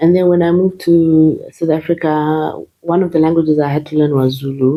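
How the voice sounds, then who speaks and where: Speaking at a fairly quick pace in a Zimbabwean accent, a woman has a very deep, low voice and monotone, flat intonation. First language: Shona. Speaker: nurse. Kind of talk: interview. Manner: hesitant, many fillers.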